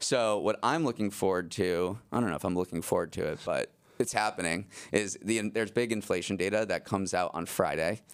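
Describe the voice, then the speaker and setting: In a very clean recording with a silent background, a man with a plain, everyday voice speaks at a fairly low pitch with ordinary pitch variation. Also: fairly quick pace. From Massachusetts, US. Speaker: news podcast host and managing editor. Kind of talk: casual news talk.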